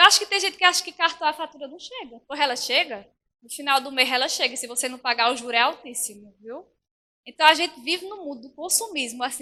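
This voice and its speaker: A raised, projected voice with a bright, sharp tone speaks at a very fast pace, animated and with lively intonation. Its loudness swings widely. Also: woman, high pitch for a woman. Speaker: preacher. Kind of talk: sermon. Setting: church.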